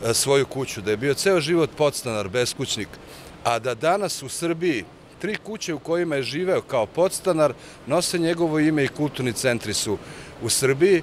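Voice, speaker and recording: A man's lively intonation at a moderate pace, dry sound with no echo, light background noise. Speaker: interviewee. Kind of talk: interview answer. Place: street. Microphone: handheld.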